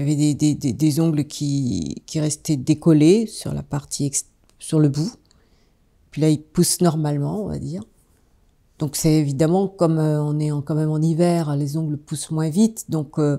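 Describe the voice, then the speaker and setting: This woman has a very deep, low voice with a dark, mellow tone. She talks at a fairly slow pace. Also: ordinary pitch variation. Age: 60s. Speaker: fasting retreat participant. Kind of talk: testimony. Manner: halting, many hesitations.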